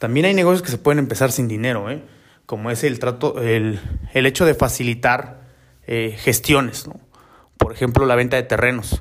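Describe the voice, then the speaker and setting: Speaking in a Mexican accent, a man talks at a moderate pace and medium pitch, with ordinary pitch variation. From Mexico, Oaxaca. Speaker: personal finance podcaster. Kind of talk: casual monologue. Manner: halting, many fillers.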